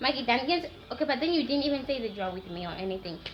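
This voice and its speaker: A woman speaks very fast at a high pitch with lively intonation. Audible room echo and noticeable background noise fill the recording. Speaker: YouTuber. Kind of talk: story time. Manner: animated.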